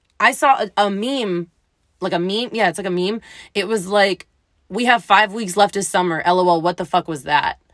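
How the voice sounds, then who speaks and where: With an ordinary speaking voice, a woman talks at a moderate pace and medium pitch with ordinary pitch variation, on a very clean recording with a silent background and a dry, close sound with no echo. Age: 20s. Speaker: solo podcaster. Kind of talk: casual monologue. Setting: home recording, night after work. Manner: casual, filler-heavy.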